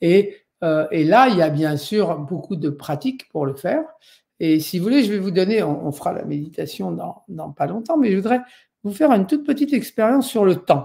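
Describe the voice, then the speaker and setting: Against a silent background in a very clean recording, a man with a high pitch and a dark, mellow tone speaks at a moderate pace with very wide pitch swings. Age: 60s. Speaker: Buddhist meditation teacher. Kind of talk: lecture. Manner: halting, many fillers.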